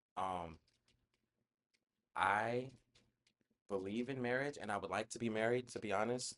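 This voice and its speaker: Pausing long and often, a man at medium pitch speaks at a moderate pace with ordinary pitch variation. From South Florida, Broward County. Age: 20s. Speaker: podcast host. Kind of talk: casual chat. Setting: small studio.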